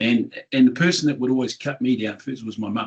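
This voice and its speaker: This man speaks with a New Zealand accent. His pace is fairly quick. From New Zealand (regional town). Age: 60s. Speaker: business owner, tech company founder. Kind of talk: interview. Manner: animated.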